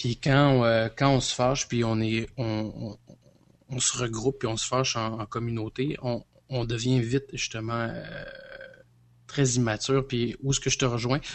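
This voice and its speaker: This man talks at a fairly slow pace. His intonation is monotone and flat. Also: medium pitch for a man. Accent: Quebec. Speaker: podcast co-host. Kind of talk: casual chat. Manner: halting.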